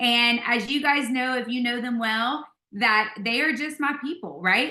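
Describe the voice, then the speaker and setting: With a Louisiana accent, a woman speaks in an animated tone with ordinary pitch variation. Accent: Southern US (Louisiana). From US South, South Louisiana. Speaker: network marketing leader. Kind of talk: motivational video call presentation.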